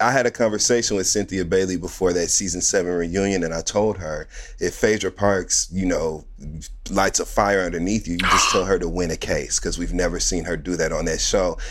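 A man talks at a moderate pace, and noticeable background noise can be heard behind him. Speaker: podcast co-host and reality TV commentator. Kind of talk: casual chat. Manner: animated.

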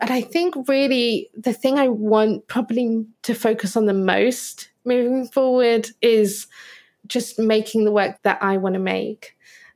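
Heard on a very clean recording with a silent background, a woman with an unremarkable speaking voice speaks at a fairly high pitch and a fairly slow pace with ordinary pitch variation. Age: 30s. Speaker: illustrator and author. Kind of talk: interview conversation.

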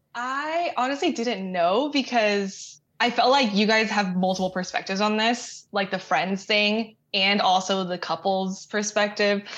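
In an American accent, a woman speaks fairly slowly with hardly any pauses, using an unremarkable speaking voice at medium pitch with ordinary pitch variation. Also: quiet background. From Texas, Austin. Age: 20s. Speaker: caller seeking friendship advice. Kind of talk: casual chat.

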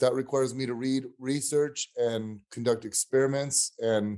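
A man speaks at a medium pitch with a dark, mellow tone. His intonation is monotone and flat. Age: 40s. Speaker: exercise scientist and coach. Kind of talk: casual interview. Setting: remote call.

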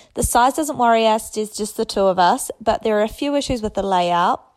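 In a New Zealand accent, a woman talks at a fairly quick pace with a fairly high pitch and ordinary pitch variation, on a very clean recording with a silent background. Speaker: listener sending a question. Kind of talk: recorded voice message.

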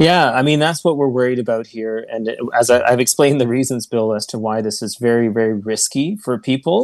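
The speaker has a normal speaking voice and a fairly quick pace. The intonation stays fairly even. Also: man. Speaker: doctor working in hospitals and long term care. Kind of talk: radio interview.

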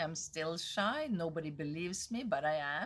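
A woman's fairly low voice with a bright, sharp tone and a Norwegian accent, on a very clean recording with a silent background. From Norway. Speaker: tech entrepreneur. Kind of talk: interview.

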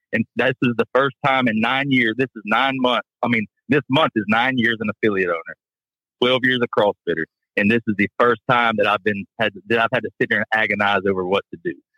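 In a normal speaking voice, a man with a medium pitch talks at a fairly quick pace with fairly even intonation. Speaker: gym owner. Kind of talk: casual chat. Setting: phone call.

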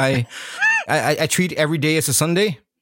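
A man speaks with a Norwegian accent. There is noticeable background noise. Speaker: electronic music DJ. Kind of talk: casual chat.

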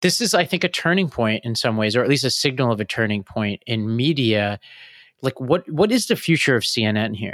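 In an ordinary speaking voice, a man with an American accent and a medium pitch talks at a fairly quick pace with lively intonation, in a dry, close sound with no echo on a very clean recording with a silent background. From Tennessee, US South. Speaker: podcast host. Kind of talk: casual news discussion podcast.

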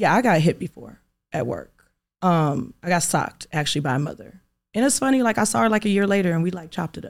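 Speaking very fast with an American accent, a woman uses lively intonation, a fairly low pitch and vocal fry on a very clean recording with a silent background. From Inglewood, California. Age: 30s. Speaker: magazine owner and beauty supply entrepreneur. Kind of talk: interview.

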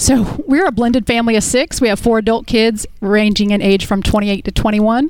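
Noticeable background noise sits behind a woman with a fairly high pitch and ordinary pitch variation. She keeps a moderate pace with hardly any pauses. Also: very even loudness. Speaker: debt-free guest, landlord. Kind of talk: on-air interview. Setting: studio.

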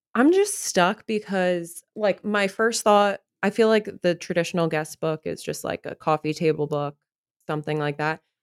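A woman with an unremarkable speaking voice, moderate pace and ordinary pitch variation, captured dry and close with no echo in a very clean recording with a silent background. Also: fairly low pitch for a woman. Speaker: bride-to-be. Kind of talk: casual chat.

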